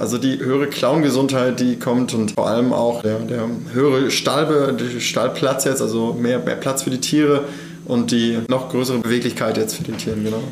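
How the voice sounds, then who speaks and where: Amid noticeable background noise and audible room echo, a man talks at a moderate pace with a medium pitch and fairly even intonation. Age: 20s. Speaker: farmer and agriculture student. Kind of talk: interview. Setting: on the farm.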